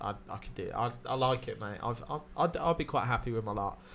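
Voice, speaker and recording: A man with a southern English accent, medium pitch, a bright, sharp tone, lively intonation and a fairly quick pace. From Wales. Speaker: stand-up comedian and podcast co-host. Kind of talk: casual chat. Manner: animated.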